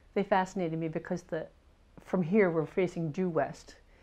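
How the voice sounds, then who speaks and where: With an American accent, a woman speaks at a moderate pace in a fairly low pitch and a dark, mellow tone. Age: 70s. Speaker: painter. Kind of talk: interview. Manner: halting.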